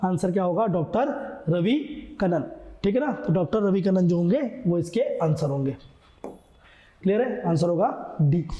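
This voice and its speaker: Lively intonation and very even loudness carry a moderate pace with long, frequent pauses, set against audible room echo and noticeable background noise. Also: man, high pitch for a man. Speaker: coaching teacher. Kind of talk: exam prep lecture. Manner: casual, conversational teaching.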